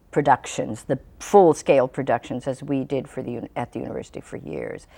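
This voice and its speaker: In a very clean recording over a silent background, a woman speaks at a very deep, low pitch with a dark, mellow tone and vocal fry. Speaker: puppeteer. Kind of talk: interview answer.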